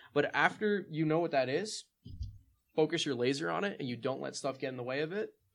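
Lively intonation and an animated tone at a fairly quick pace, with vocal fry. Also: man, fairly high pitch for a man. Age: 20s. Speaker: military academy cadet. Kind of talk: casual chat.

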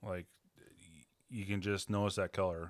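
A man's fairly low voice with a bright, sharp tone and an American accent, at a moderate pace on a very clean recording with a silent background. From Western Washington, US. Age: 40s. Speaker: hunter and angler. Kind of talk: casual chat.

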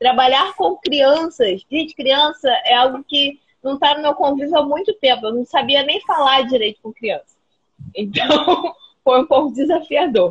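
A woman speaks at a high pitch and a fairly slow pace, with lively intonation. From Rio de Janeiro state, Brazil (Paracambi). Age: 30s. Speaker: biologist and schoolteacher. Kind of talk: casual interview.

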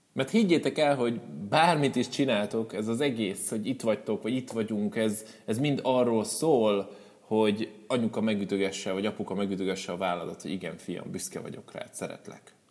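Here a man speaks at a fairly quick pace. His pitch is medium, with ordinary variation. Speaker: motivational speaker. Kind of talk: live talk to audience. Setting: stage with audience. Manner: spontaneous, unscripted.

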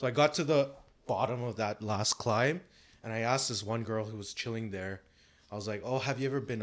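In a very clean recording with a silent background, a man with a Canadian accent talks at a very fast pace in a fairly low voice with ordinary pitch variation. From Canada (Toronto). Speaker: entrepreneur and rock musician. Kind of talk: casual interview.

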